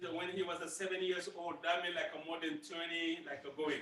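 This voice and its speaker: A man with a high pitch speaks at a moderate pace with fairly even intonation. The recording has noticeable background noise and audible room echo. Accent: Burkinabe. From Burkina Faso. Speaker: master drummer. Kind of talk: school presentation Q&A. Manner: halting, many repeats and fillers.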